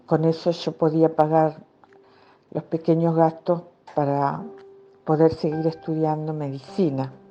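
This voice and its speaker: The speech is fairly slow, with long, frequent pauses and monotone, flat intonation. Noticeable background noise can be heard. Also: woman, very deep, low pitch for a woman. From Argentina, Entre Ríos and Rosario. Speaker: psychiatrist and author. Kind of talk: personal testimony. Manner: hesitant, with many fillers.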